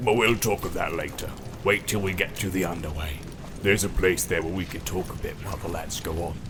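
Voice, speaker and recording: A man puts on a character voice, very deep and low, at a fairly quick pace. Loud noise fills the background. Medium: read story. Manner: coarse, swaggering.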